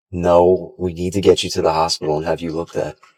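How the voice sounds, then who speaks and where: In a raspy put-on character voice, a man talks at a very fast pace with a very deep, low pitch. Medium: short film. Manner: caring, insistent.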